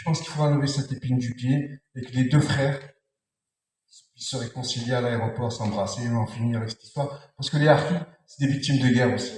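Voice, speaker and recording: The voice is somewhat breathy and fairly even in intonation, moving at a fairly quick pace with big swings in loudness. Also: man, medium pitch for a man. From France. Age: 60s. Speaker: audience member in open debate. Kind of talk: public debate.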